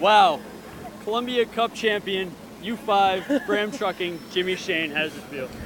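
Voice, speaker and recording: Speaking at a fairly slow pace over noticeable background noise, a man uses a high pitch with ordinary pitch variation. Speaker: sports anchor and reporter. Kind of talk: TV sports anchor and reporter delivery.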